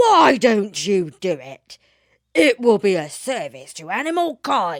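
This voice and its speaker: Growling in a put-on character voice, the speaker uses a fairly high pitch with very wide pitch swings at a fairly slow pace. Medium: read story.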